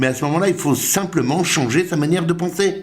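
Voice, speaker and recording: A man is speaking. Room echo can be heard in the recording. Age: 60s. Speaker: personal development coach. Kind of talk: motivational talk. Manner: animated.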